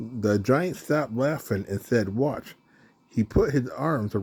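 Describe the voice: Someone does plain reading aloud.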